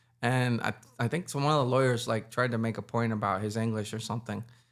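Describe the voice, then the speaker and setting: A man at a medium pitch and fairly quick pace with a slight Puerto Rican accent, on a very clean recording with a silent background. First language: Spanish. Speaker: musician. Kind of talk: casual interview. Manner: animated.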